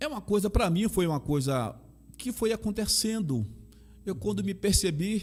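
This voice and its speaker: This man has a Bahian accent and a high pitch. He speaks at a moderate pace with lively intonation. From Brazil, Bahia (Salvador). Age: 60s. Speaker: pastor and chaplain. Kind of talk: interview testimony.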